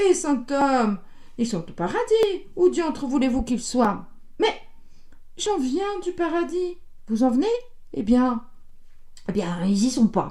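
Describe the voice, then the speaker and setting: Using a put-on character voice, a woman speaks fairly slowly with long, frequent pauses, her hoarse, high voice swinging very widely in pitch. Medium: read story. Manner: solemn, sighing.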